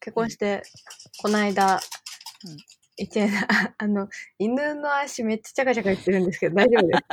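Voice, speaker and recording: At a fairly quick pace, a woman speaks with a fairly high pitch and ordinary pitch variation. Her loudness swings widely, and she takes long, frequent pauses. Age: 20s. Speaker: iOS engineer. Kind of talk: casual chat.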